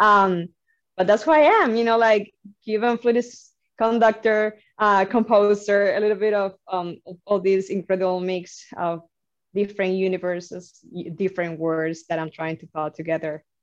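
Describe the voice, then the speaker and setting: A woman with a Cuban accent speaks at a medium pitch, her loudness rising and falling sharply. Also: ordinary pitch variation, moderate pace. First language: Spanish. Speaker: flutist, composer and music instructor. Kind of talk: interview conversation.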